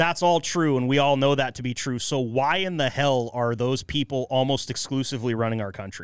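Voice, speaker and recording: Recorded very cleanly against a silent background, a man with an American accent talks in an ordinary speaking voice at a medium pitch, with ordinary pitch variation and a fairly quick pace. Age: 30s. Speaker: podcast host. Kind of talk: casual chat.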